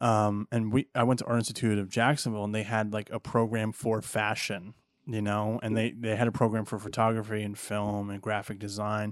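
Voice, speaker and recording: Over a very clean recording with a silent background, a man with a fairly low pitch talks at a fairly quick pace, with hardly any pauses and monotone, flat intonation. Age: 30s. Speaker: podcast host and filmmaker. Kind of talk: casual chat.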